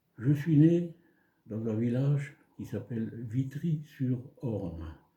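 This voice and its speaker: Somewhat breathy and dark, mellow in tone, a man speaks at a very slow pace with medium pitch and lively intonation. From France, Moselle (Lorraine). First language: German (speaking French). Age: 80s+. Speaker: elderly local resident. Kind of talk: life story interview.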